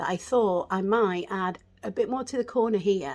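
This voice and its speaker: Recorded very cleanly with no sound behind her, a woman talks at a moderate speed. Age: 50s. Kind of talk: casual makeup tutorial talk to camera. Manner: chatty.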